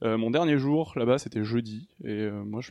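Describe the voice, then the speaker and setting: This is an ordinary speaking voice. Its pitch variation is ordinary. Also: man. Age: 30s. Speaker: video game programmer. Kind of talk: casual chat.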